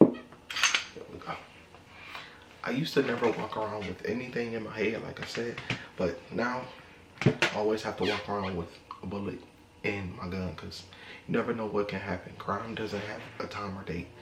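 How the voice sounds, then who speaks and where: A man talks at a moderate pace and a fairly low pitch, with fairly even intonation, big swings in loudness, and long, frequent pauses. Audible room echo and noticeable background noise are present. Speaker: gun vlogger. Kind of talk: casual vlog talk to camera. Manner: monotone.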